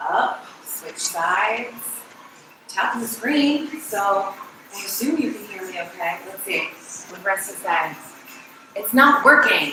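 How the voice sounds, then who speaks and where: A woman's fairly high voice with lively intonation, big swings in loudness, a fairly slow pace and long, frequent pauses, amid audible room echo and noticeable background noise. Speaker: fitness instructor. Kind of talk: workout instruction.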